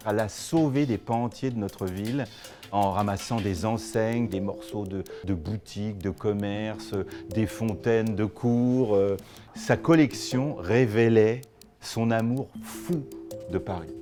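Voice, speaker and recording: Over music in the background, a man speaks very slowly at a fairly low pitch with ordinary pitch variation. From France. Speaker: fine art auctioneer. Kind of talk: interview answer.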